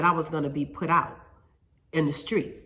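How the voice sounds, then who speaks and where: In a room with audible echo, a woman speaks with a bright, sharp tone at a very deep, low pitch. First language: Spanish. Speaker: hair stylist and salon owner. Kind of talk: casual vlog monologue. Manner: halting, with fillers and repetitions.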